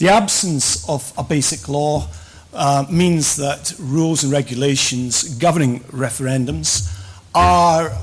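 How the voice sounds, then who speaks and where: A man's fairly high, somewhat breathy voice moves very slowly with lively intonation. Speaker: professor. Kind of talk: conference lecture.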